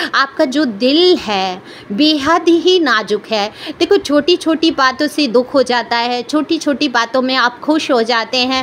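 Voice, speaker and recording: Loud and high-pitched, a woman speaks with lively intonation. There is noticeable background noise. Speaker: tarot card reader. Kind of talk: tarot reading monologue. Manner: loud, raised pitch.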